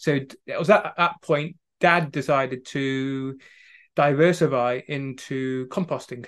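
Over a quiet background, the voice moves at a fairly slow pace in a Staffordshire accent, with ordinary pitch variation and big swings in loudness. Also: man, fairly high pitch for a man. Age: 30s. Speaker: wellbeing coach from a farming family. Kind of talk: podcast interview.

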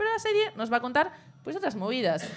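Her pitch swings very widely as this woman speaks. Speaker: show contributor. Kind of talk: culture segment, casual chat. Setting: café with live audience. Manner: fast.

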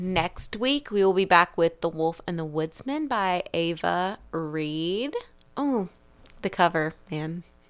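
Using an ordinary speaking voice, a woman talks at fairly low pitch with ordinary pitch variation. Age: 30s. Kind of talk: casual chat.

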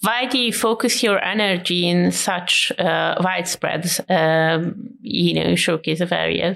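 Woman with a Hungarian accent, fairly low-pitched with vocal fry, at a fairly slow pace with hardly any pauses, ordinary pitch variation and very even loudness. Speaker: podcast host. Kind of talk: casual chat.

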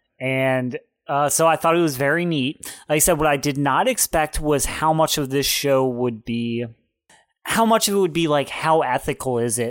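On a very clean recording with a silent background, a man with a plain, everyday voice speaks at a fairly high pitch and a fairly slow pace, with ordinary pitch variation. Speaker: podcast host. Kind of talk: casual podcast banter. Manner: joking, playful.

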